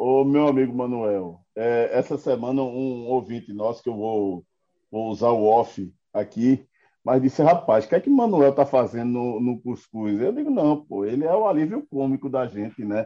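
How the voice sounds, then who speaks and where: This is a man with a normal speaking voice at a medium pitch. He keeps a moderate pace with ordinary pitch variation. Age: 50s. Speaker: political commentator. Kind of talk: casual political chat.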